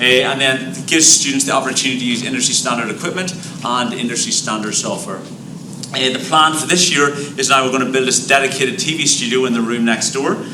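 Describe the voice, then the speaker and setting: A man's medium-pitched voice at a very fast pace, with ordinary pitch variation, noticeable background noise and audible room echo. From Ireland. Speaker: high school teacher. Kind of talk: presentation at board meeting.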